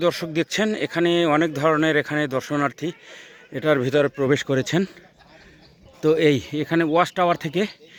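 The speaker is a man. His pitch is fairly high. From Bangladesh, Barishal region. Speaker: travel vlogger. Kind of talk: vlog narration. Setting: outdoors. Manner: halting.

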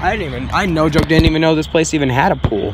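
A man at a very fast pace, dry sound with no echo, noticeable background noise behind him. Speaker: urban explorer vlogger. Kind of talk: casual vlog chat. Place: street. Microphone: phone near.

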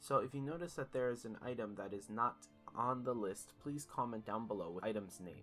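Over music in the background, a man speaks at a moderate pace in a medium pitch with ordinary pitch variation. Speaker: gaming video creator. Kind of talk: game guide narration.

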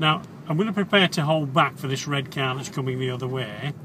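Speech with ordinary pitch variation moves at a fairly quick pace, dry with no echo, over noticeable background noise. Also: man. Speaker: driving instructor. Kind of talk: commentary while driving, tutorial. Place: car.

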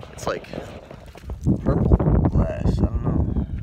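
A man speaks over loud background noise. The sound is dry with no echo. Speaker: vlogger. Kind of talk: casual vlog chat. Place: open country. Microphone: phone near.

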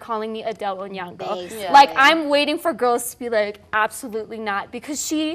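A woman talks at a moderate pace, with ordinary pitch variation and light noise in the background. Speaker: talk show co-host. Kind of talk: entertainment commentary. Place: studio. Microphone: lapel.

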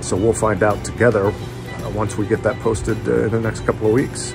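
Clear music sounds in the background as a man talks at a moderate pace. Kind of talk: casual vlog chat. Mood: warm, relaxed. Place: garage. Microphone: phone near.

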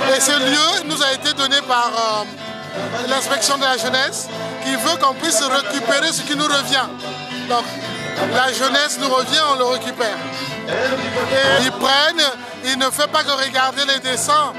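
Clear music plays in the background behind a man. He leaves long, frequent pauses. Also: dry sound with no echo. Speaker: storyteller and author. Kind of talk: interview answer. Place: street. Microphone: phone near.

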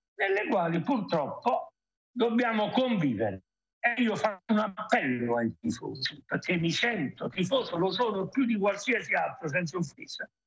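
The man's voice is high in pitch. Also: quiet background. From Benevento, Campania; Campania. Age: old. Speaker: football executive; guest. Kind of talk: TV sports talk show. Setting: remote link. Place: home room. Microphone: video call.

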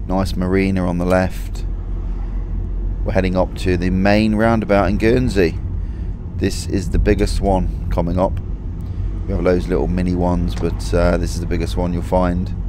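A man with a very deep, low voice speaks at a moderate pace, with long, frequent pauses and ordinary pitch variation. The sound is dry with no echo, though noticeable background noise is present. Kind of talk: casual vlog chat. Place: car. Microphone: phone near.

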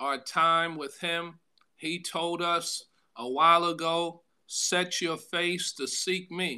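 Over a quiet background, a man talks at a very slow pace. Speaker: pastor. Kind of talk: sermon. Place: home room. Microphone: phone near.

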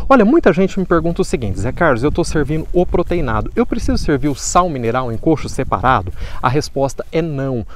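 With very wide pitch swings, a man talks at a fairly quick pace in a dry sound with no echo. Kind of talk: tutorial. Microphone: phone near.

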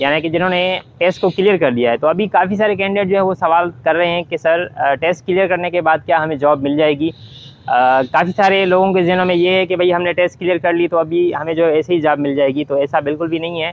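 Speaking at a fairly quick pace, a man uses a high pitch and fairly even intonation, the sound dry with no echo. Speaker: education channel host. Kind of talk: tutorial explanation. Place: garden. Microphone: lapel.

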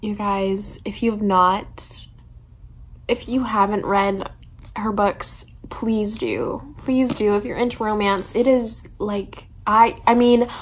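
A somewhat breathy woman's voice at a very slow pace, over light background noise. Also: fairly even intonation. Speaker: vlogger. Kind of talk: casual vlog chat. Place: home room. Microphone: phone near.

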